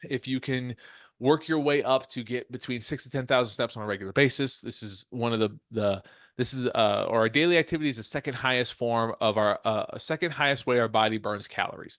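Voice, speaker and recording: Against a quiet background, a man with a medium-pitched voice speaks at a fairly quick pace with ordinary pitch variation. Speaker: fitness coach, podcast host. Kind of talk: solo podcast monologue. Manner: fast; halting, many fillers and restarts.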